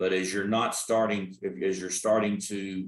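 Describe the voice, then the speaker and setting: A man in a Texas accent speaks with a fairly low pitch and fairly even intonation. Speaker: energy risk consultant. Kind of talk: expert talk. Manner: halting.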